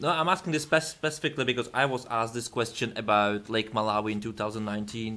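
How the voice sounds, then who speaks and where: This man talks at a very fast pace with hardly any pauses. His pitch is medium, with ordinary variation. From continental Europe. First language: not English. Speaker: YouTube interviewer. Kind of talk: interview.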